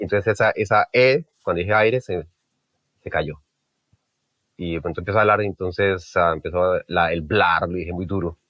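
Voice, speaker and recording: A man with a very deep, low pitch talks with long, frequent pauses. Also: ordinary pitch variation. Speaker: mixing engineer. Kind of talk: interview. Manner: fast; halting.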